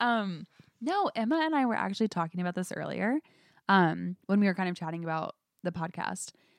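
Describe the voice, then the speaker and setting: A woman with an American accent, an unremarkable speaking voice, medium pitch and lively intonation. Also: fairly quick pace. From US Midwest, Indianapolis. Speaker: guest, finance worker. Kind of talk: casual chat.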